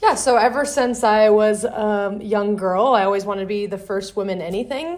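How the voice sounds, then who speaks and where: A woman with an American accent and an ordinary speaking voice talks at a moderate pace and a fairly high pitch, with ordinary pitch variation and hardly any pauses. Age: 20s. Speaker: electrical contractor CEO. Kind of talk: interview.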